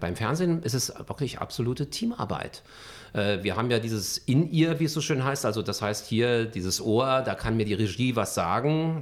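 On a very clean recording with a silent background, a man with a normal speaking voice talks at a moderate pace, his medium pitch carried by lively intonation. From Berlin (Charlottenburg, West Berlin). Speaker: journalist and TV news anchor. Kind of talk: interview.

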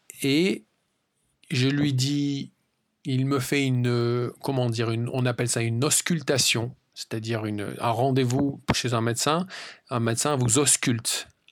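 Captured in a very clean recording with a silent background, a man at medium pitch talks at a fairly slow pace with fairly even intonation and long, frequent pauses. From France. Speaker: language-learning podcast host. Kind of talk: casual solo monologue for learners.

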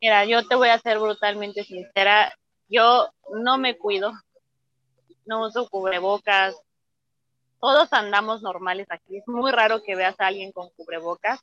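Her voice is fairly high, with a bright, sharp tone and fairly even intonation, and she speaks at a fairly slow pace with long, frequent pauses. The sound is dry and close, with no echo. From Mexico. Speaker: belly dancer. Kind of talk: interview.

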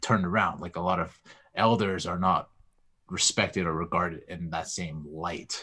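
A man with a Canadian accent speaks at a moderate pace and a very deep, low pitch. His tone is bright and sharp, his intonation fairly even, and the recording very clean with a silent background. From Canada, Vancouver. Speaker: podcaster and martial artist. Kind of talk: casual chat. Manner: halting, frequent repetitions.

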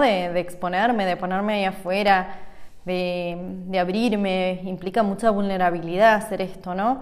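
A woman with a Rioplatense accent speaks at medium pitch and a fairly slow pace, keeping her intonation fairly even. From Argentina. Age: 30s. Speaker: holistic coach and podcast host. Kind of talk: casual monologue.

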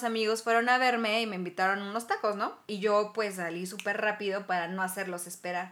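With a Mexican accent, a woman talks with hardly any pauses, her fairly high pitch showing ordinary variation. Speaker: podcast host. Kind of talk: casual chat.

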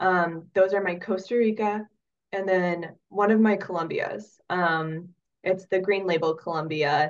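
A woman with an American accent and a normal speaking voice talks at a fairly slow pace in a medium pitch, her intonation fairly even. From Oregon, US. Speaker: coffee roaster and former soil scientist. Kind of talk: casual interview.

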